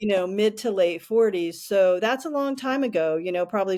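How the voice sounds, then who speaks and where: A woman speaks in a plain, everyday voice at a fairly quick pace, with medium pitch, ordinary pitch variation, and a very clean recording against a silent background. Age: 60s. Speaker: podcast co-host. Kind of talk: casual chat.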